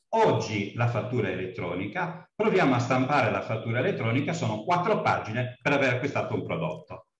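With audible room echo, the voice moves at a fairly quick pace with hardly any pauses and very wide pitch swings. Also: man, medium pitch for a man, quiet background. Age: old. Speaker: course participant; speaker. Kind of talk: class discussion. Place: office. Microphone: video call.

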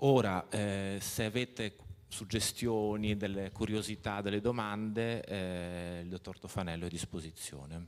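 A man with an ordinary speaking voice talks at a fairly slow pace, fairly low in pitch, with fairly even intonation. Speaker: event moderator. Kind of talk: formal introduction. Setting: stage with audience. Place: hall. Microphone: handheld.

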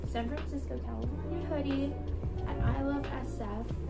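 A woman speaks with clear music in the background. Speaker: vlogger. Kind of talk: casual haul vlog chat. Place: home room. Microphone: phone near.

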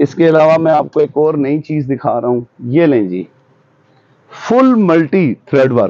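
This man has a plain, everyday voice at a fairly high pitch. The sound is dry with no echo. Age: 40s. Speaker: shopkeeper. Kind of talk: interview and product showcase. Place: shop. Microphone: lapel.

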